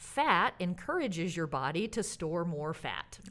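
A woman talks with an ordinary speaking voice at a fairly low pitch. Her pace is fairly slow, and her intonation is lively. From US South (Alabama). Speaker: bariatric surgeon. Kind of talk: interview, casual conversation.

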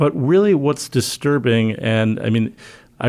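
A man talks at a moderate pace. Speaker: health reporter and author. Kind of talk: interview discussion. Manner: hesitant, filler-heavy.

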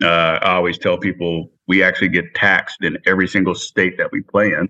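A man speaks in a very deep, low pitch with an American accent. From Dallas, Texas. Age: 30s. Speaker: former NFL player, sports executive. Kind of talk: interview.

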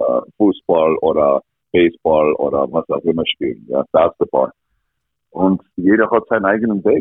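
A man with an English accent is speaking. His pace is fairly slow. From Canada, rural Alberta. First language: English (speaking German). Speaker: ice hockey coach. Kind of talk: interview. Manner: halting.

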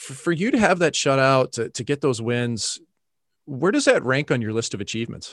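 Speaking with an American accent, a man delivers his words at a very fast pace. The sound is dry and close with no echo, over a quiet background. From Missouri, US (St. Louis). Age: 30s. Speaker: podcast host, former hockey goalie. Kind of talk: interview conversation.

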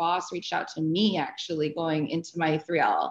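Speaking at a fairly slow pace, a woman with a fairly low pitch and an American accent has an ordinary speaking voice. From Arizona, US. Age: 30s. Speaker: sports agent. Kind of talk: interview.

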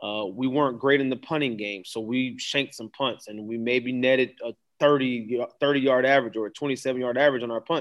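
A man with an American accent and an ordinary speaking voice talks at a moderate pace and medium pitch, with ordinary pitch variation, against a quiet background. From Florida, Daytona Beach. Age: 30s. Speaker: high school football coach. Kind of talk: interview.

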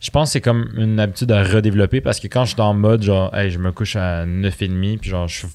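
A man's very fast delivery, fairly low in pitch, on a very clean recording with a silent background. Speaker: entrepreneur. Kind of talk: casual chat. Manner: relaxed, soft.

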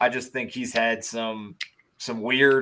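Speaking at a fairly slow pace, a man has a medium pitch and a plain, everyday voice. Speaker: podcast host. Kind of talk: casual sports discussion.

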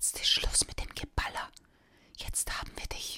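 Someone whispers in a menacing tone over noticeable background noise. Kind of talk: scripted audiobook narration, ASMR-style ghost story telling. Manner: hushed, whispery, slow and suspenseful; changes voice for menacing hissing, growling characters.

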